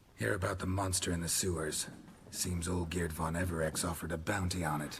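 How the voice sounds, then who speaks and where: A man speaks in a put-on character voice with a very deep, low pitch. His tone is deadpan, and clear background noise runs behind him. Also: fairly quick pace. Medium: video game. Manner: deadpan, terse.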